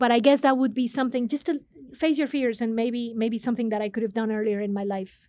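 Talking at a very fast pace, a woman with a Spanish accent has a fairly high pitch and fairly even intonation. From Mexico, Monterrey. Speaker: business consulting executive. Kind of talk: interview.

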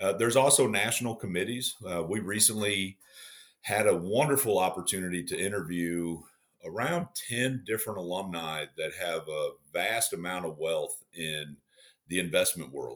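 A man with an ordinary speaking voice talks at a moderate pace, his fairly low pitch carried by lively intonation. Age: 40s. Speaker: fraternity executive director. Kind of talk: interview.

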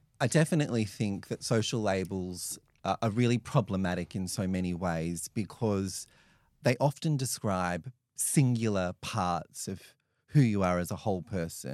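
A man with an Australian accent talks at a moderate pace with lively intonation. The sound is dry and close with no echo, on a very clean recording with a silent background. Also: fairly low pitch for a man. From regional New South Wales, Australia. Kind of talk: interview.

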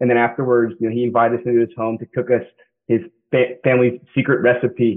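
Here is a man with an American accent and an ordinary speaking voice. He speaks at a medium pitch and a fairly quick pace. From Kansas. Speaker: MBA student and military veteran. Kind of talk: interview.

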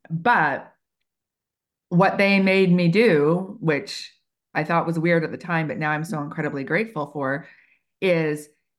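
A woman with an American accent and a plain, everyday voice speaks at a moderate pace with fairly low pitch and ordinary pitch variation, in a very clean recording with a silent background. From United States. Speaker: HR consultant and trainer. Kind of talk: interview conversation.

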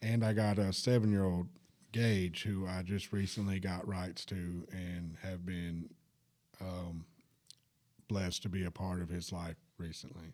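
In a Southern US accent, a man with a very deep, low voice speaks at a fairly slow pace with fairly even intonation and long, frequent pauses. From Alabama, US South (Huntsville). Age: 30s. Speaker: recovery center worker, former drug addict. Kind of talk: testimony. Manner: halting.

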